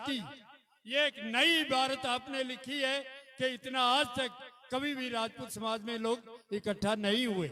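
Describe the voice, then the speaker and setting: A man speaks in a raised, projected voice at an extremely high pitch, his intonation fairly even. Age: 70s. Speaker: community leader. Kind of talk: public speech. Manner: formal.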